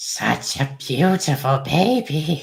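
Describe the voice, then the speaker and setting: Raspy and fairly high in pitch, a man does a put-on character voice. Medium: read story. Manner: erratic, unhinged.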